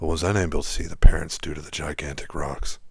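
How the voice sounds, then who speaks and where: Whispering and soft-spoken, the voice is somewhat breathy and moves at a fairly quick pace. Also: man. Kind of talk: whispered sleep story narration. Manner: whispered, soft, calm.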